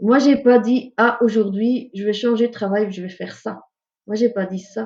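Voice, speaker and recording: A woman's fairly high, somewhat breathy voice with a dark, mellow tone and a non-native accent. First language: not French (speaking French). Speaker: ecopsychologist. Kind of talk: interview. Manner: hesitant, many fillers.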